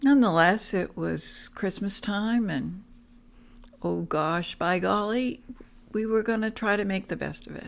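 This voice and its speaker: A woman's normal speaking voice of medium pitch, with ordinary pitch variation and a fairly slow pace. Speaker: family storyteller. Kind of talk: personal family anecdote.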